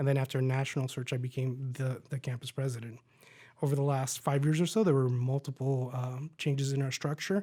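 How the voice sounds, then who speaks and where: Man with an American accent at medium pitch, very fast pace, somewhat breathy, dark, mellow tone and monotone, flat intonation, on a very clean recording with a silent background. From US South, Miami, Florida. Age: 40s. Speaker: college president. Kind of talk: interview.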